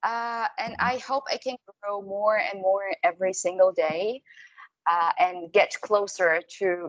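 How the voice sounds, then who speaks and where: A woman's medium-pitched voice with an Arabic accent, ordinary pitch variation, and a dry, close sound with no echo. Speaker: TV host. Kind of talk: casual interview.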